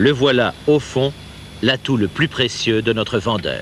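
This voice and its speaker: A man talks at a very slow pace and medium pitch. His pitch varies in an ordinary way, and background noise is noticeable. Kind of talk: corporate sales training film narration. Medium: dub.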